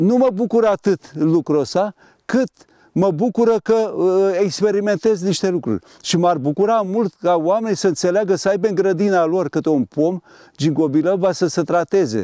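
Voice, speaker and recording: A man's high voice, dark and mellow in tone, at a moderate pace with ordinary pitch variation and very even loudness, dry and close with no echo. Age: 70s. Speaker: engineer and ginkgo tree grower. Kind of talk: interview. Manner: halting.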